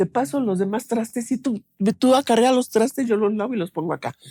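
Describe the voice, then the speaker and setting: In a very clean recording with a silent background and a dry, close sound with no echo, a woman speaks at a fairly quick pace in a somewhat breathy voice with a dark, mellow tone and ordinary pitch variation. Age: 70s. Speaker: bereaved mother. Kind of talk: interview testimony. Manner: conversational, many fillers.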